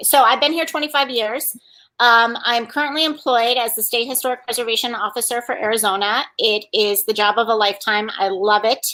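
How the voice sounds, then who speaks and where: A woman's fairly high-pitched voice with an upstate New York accent, bright and sharp in tone, at a fairly quick pace with ordinary pitch variation. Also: very clean recording, silent background. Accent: Albany, upstate New York. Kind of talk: professional, introducing self.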